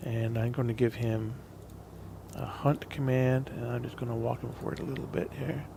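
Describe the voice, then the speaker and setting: Against noticeable background noise, a man talks at a medium pitch and moderate pace with fairly even intonation. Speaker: gaming video creator. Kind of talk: gameplay commentary. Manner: casual, halting with fillers; tends to get quieter while playing.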